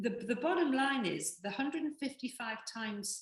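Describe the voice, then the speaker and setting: A woman's voice shows ordinary pitch variation. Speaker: business opportunity presenter. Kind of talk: sales presentation. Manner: fast.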